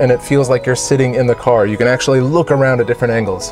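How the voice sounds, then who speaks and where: A man talks in a dry sound with no echo. Clear music plays in the background. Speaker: car reviewer. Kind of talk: casual tour commentary. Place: shop.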